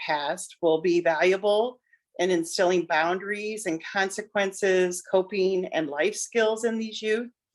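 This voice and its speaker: A woman with an ordinary speaking voice talks fairly slowly at medium pitch with ordinary pitch variation. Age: 60s. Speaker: parent of son with addiction. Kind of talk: testimony interview.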